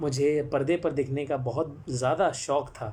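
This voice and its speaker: A man talks in a somewhat breathy voice pitched fairly high. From Jamshedpur, Jharkhand, eastern India. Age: 20s. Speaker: actor and storyteller. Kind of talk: live-stream talk. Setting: live social media broadcast. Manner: frequent hesitations.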